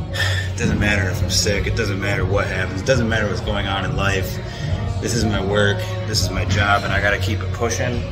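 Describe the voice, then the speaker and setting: Loud music in the background behind a man talking at a fairly quick pace. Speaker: fitness vlogger. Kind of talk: casual vlog chat. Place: gym. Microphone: phone near.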